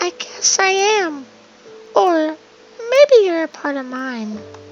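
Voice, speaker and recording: A soft-spoken, squeaky, high-pitched put-on character voice moves at a fairly slow pace with very wide pitch swings. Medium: game stream. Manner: soft, enigmatic.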